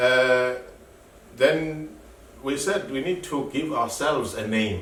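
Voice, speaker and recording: A man's fairly high voice at a very slow pace, with audible room echo and noticeable background noise. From South Africa. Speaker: activist, founder of an asylum seekers' group. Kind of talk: interview. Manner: halting, repeats words.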